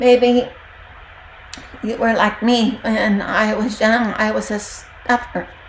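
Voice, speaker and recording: Over noticeable background noise, a woman speaks at a very slow pace with long, frequent pauses. Her fairly high voice stays monotone and flat. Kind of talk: devotional talk.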